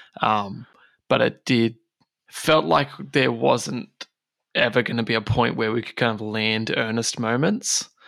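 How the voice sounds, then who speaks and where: Here a man talks fairly slowly at a medium pitch in an unremarkable speaking voice. His pitch varies in an ordinary way. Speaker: game master and podcast co-host. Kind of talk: casual chat.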